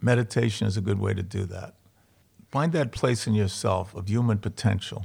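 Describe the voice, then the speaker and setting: A man with an American accent, fairly low in pitch, somewhat breathy, at a moderate pace with ordinary pitch variation. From Boston, Charlestown. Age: 70s. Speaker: comedian and actor, works with inmates. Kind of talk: casual interview, storytelling. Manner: animated, joking.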